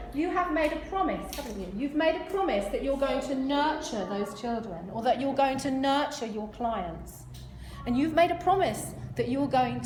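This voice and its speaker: A woman speaks in an animated tone. Noticeable background noise and audible room echo fill the recording. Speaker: motivational speaker on health. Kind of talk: talk to a live audience. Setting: stage with audience. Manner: fast.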